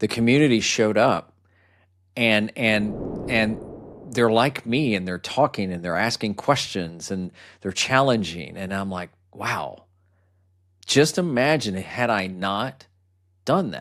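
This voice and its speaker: A fairly low-pitched man with lively intonation, a fairly slow pace and long, frequent pauses, on a very clean recording with a silent background. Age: 60s. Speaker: YouTuber and podcaster. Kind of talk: interview. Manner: halting, repetitive.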